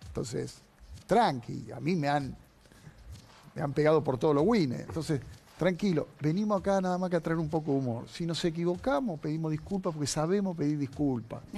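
Fairly high in pitch, this man speaks quickly in a Rioplatense accent. His tone is dark and mellow, with ordinary pitch variation. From Argentina. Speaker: TV show host. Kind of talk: TV panel commentary. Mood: firm, defensive, impassioned. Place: studio. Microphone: lapel.

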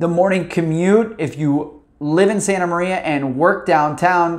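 A man speaks at a fairly slow pace with a high pitch. His intonation is fairly even, and the background is quiet. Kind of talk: informational talk to camera. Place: office. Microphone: lapel.

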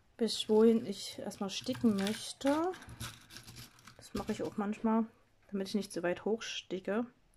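A woman speaks fairly slowly in a somewhat breathy voice with a dark, mellow tone, her loudness swinging widely and her long pauses frequent over light background noise. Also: fairly high pitch for a woman, ordinary pitch variation. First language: not German (speaking German). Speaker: craft video creator. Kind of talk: tutorial. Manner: halting. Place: home room. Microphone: phone near.

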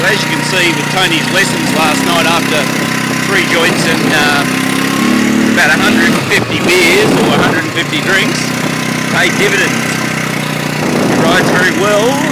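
A man talks at a fairly slow pace with ordinary pitch variation and long, frequent pauses. Loud background noise runs throughout. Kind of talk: casual joking commentary. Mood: jokey, laughing. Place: farm machine. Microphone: phone near.

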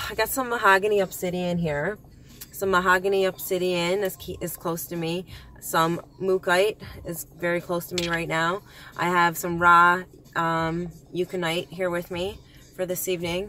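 In a dry sound with no echo, a woman with a fairly low pitch and a bright, sharp tone speaks at a moderate pace in a monotone, flat intonation. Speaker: vlogger. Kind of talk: casual vlog chat. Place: car. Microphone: phone near.

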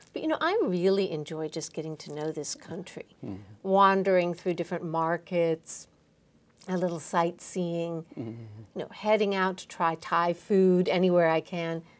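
A woman's fairly low voice with ordinary pitch variation, big swings in loudness and a moderate pace. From United States. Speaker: ambassador. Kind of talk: interview. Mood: warm, friendly. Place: studio.

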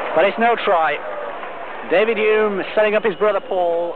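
The sound is dry with no echo, with noticeable background noise behind it. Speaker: TV sports commentator. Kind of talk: commentary.

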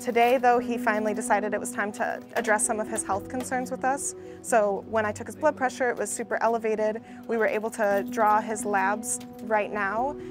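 Over clear music in the background, a woman speaks with fairly even intonation in a dry sound with no echo. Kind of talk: interview answer. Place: street.

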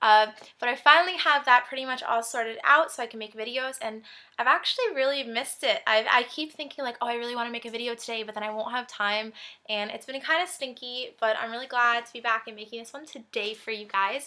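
Against a quiet background, a woman talks at a very fast pace with a high pitch. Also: ordinary pitch variation, big swings in loudness. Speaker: fashion vlogger. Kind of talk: casual vlog chat. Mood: cheerful, giggly. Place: home room. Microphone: webcam.

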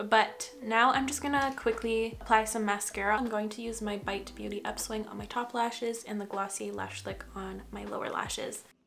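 At a moderate pace, a woman talks with ordinary pitch variation over light background noise. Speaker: beauty vlogger. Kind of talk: casual makeup tutorial chat. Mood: relaxed, chatty. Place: home room.

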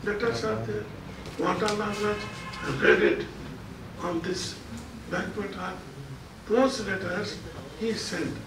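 A man speaking at a very slow pace with long, frequent pauses, audible room echo and noticeable background noise. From Mysore, India; India. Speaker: state minister. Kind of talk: press conference. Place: office.

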